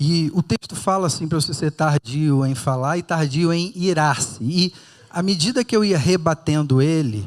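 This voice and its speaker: In a very clean recording with a silent background and a dry, close sound with no echo, a man with a Rio de Janeiro accent speaks at a fairly slow pace and fairly high pitch with lively intonation. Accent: carioca. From Rio de Janeiro, Brazil. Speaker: pastor. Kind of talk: sermon. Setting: church with audience.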